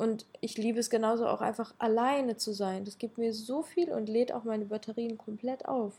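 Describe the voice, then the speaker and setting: A woman with a somewhat breathy, dark, mellow tone speaks at a moderate pace and fairly high pitch, with fairly even intonation and hardly any pauses. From Ukraine. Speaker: public speaker and podcaster. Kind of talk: casual interview.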